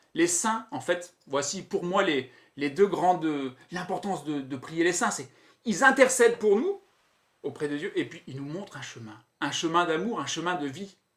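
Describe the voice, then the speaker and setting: This man's high-pitched voice has lively intonation and big swings in loudness. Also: fairly slow pace. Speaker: religious brother, youth patronage leader, seminarian soon to be ordained priest. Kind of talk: conversational interview answers about saints.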